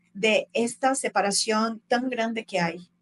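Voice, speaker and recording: A fairly high-pitched woman speaks at a very slow pace with ordinary pitch variation, the sound dry and close with no echo. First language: Portuguese (speaking Spanish). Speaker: travel content creator. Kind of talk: casual interview conversation.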